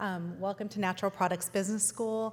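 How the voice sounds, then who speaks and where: Her West Coast US accent comes through as a woman speaks fairly quickly. She keeps her intonation fairly even. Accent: General American (West Coast). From Los Angeles, US. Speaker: food company founder. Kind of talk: keynote speech.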